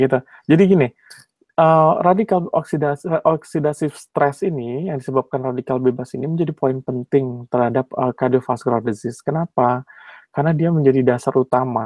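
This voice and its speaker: At a fairly quick pace, a man speaks with ordinary pitch variation, the sound dry with no echo and the background quiet. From Indonesia, West Java (Bandung); West Java, Indonesia. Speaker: cardiologist and PhD candidate; candidate. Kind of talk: webinar lecture. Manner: hesitant, many fillers. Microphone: video call.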